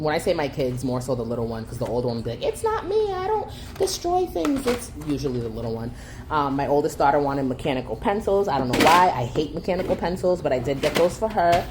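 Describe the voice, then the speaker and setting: Her pace is very fast. The woman's pitch is very deep and low, with noticeable background noise behind her. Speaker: homeschooling mom and channel host. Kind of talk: casual haul and chat to camera.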